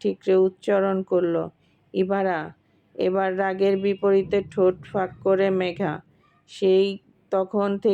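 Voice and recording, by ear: Natural-voiced reading aloud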